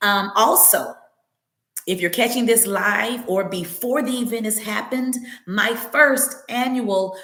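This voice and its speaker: Audible room echo colors a woman's fairly high-pitched voice. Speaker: wellness practitioner and podcaster. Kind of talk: podcast monologue. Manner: conversational, with fillers.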